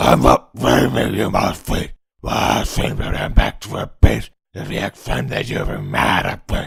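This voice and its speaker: Growling in a put-on character voice, a man speaks at a moderate pace with a very deep, low pitch. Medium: fan dub. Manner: halting, stumbling.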